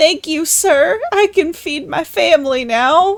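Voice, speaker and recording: In a put-on character voice, a woman speaks at a fairly slow pace with an extremely high pitch. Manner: grateful, polite.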